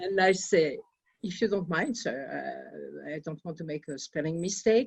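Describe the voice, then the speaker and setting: A woman is speaking. She talks with a French accent. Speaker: audience member telling a story. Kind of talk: anecdote in Q&A.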